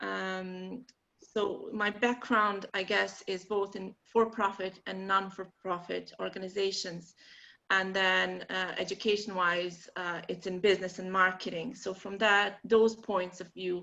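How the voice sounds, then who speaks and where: A woman with a Bosnian accent speaks at a medium pitch and a fairly slow pace, her bright, sharp tone staying monotone and flat while her loudness swings widely. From Bosnia and Herzegovina. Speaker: marketing workshop presenter. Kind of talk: online workshop presentation.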